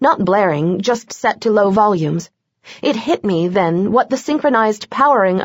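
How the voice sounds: A natural reading voice carries lively intonation over a quiet background.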